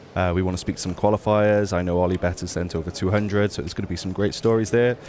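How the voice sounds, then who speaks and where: At a very fast pace, a man with a British accent talks in a very deep, low pitch with fairly even intonation. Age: 20s. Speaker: poker journalist. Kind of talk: interview. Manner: hesitant, many fillers.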